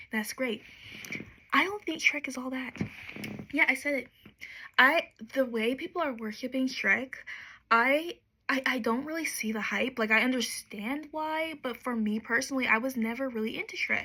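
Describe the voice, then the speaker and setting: Soft-spoken, a woman with a high, bright, sharp voice talks at a moderate pace with ordinary pitch variation and long, frequent pauses. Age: 20s. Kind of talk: ASMR soft-spoken rant to camera.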